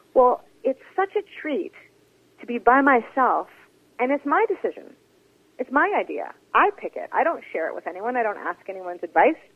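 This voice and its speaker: With a Canadian accent, a woman speaks at a moderate pace and a high pitch, her pitch swinging very widely between long, frequent pauses. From Interior British Columbia, Canada. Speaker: author and theatre artist. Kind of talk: interview.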